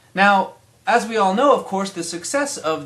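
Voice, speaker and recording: With a normal speaking voice, this speaker talks at a moderate pace with lively intonation. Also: man. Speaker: commentator on the Middle East. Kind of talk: mock TV news report.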